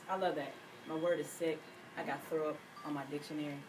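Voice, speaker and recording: Noticeable background noise and audible room echo surround the recording. A woman speaks at a fairly quick pace. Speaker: radio host. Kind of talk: radio interview. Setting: radio studio.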